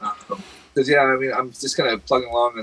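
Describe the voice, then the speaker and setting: This man talks over noticeable background noise. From Britain. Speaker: podcast co-host. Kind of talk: casual chat. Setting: live stream.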